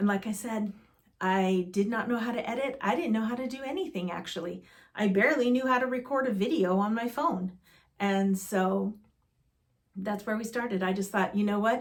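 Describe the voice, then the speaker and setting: This woman has a fairly high pitch and a somewhat breathy quality. Her pitch varies in an ordinary way, and she keeps a moderate pace. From US Southwest, Arizona (East Valley, Mesa). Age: 60s. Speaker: vlogger. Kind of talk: casual chat. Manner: animated.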